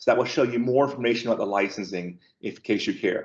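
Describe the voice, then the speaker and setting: A man speaks with vocal fry against a quiet background. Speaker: technical trainer. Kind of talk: webinar tutorial. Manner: fast. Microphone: video call.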